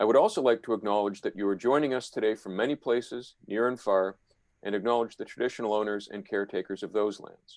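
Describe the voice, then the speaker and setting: Speaking at a very fast pace, a man keeps his fairly low voice on a fairly even intonation. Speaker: museum historian. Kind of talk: webinar host introduction.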